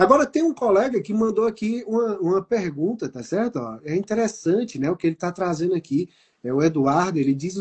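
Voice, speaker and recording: With very wide pitch swings, a man speaks in a high pitch at a moderate pace. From Brazil. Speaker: business mentor and program host. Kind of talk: live online talk show.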